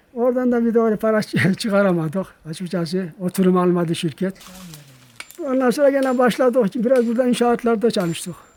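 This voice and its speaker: A high-voiced man at a fairly quick pace, with ordinary pitch variation and noticeable background noise. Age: 70s. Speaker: retired villager. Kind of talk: documentary interview. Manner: halting.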